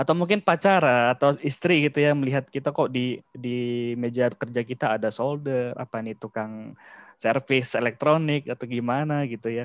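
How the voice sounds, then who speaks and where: Dry and close with no echo over a quiet background, the speech runs at a moderate pace with fairly even intonation. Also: man. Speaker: cyber security practitioner, guest speaker. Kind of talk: online lecture / knowledge sharing. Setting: video call. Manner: casual, with filler words.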